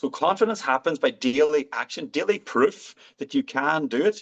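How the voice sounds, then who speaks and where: In a dry, close sound with no echo, a man with an Irish accent talks at a moderate pace and swings his pitch very widely. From Ireland. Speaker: physician. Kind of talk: interview answer.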